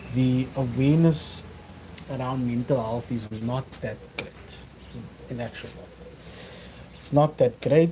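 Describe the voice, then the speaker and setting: A man with a Cape Town accent at a medium pitch, very slow and fairly even in intonation, over noticeable background noise. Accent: South African (Cape Town) English. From South Africa, Cape Town. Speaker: fitness vlogger. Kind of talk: casual livestream talk. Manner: hesitant, many fillers.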